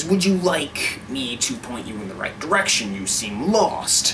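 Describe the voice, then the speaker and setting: Over clear background noise, a man puts on a character voice, fairly high in pitch, at a moderate pace. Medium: read story. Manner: calm, smooth.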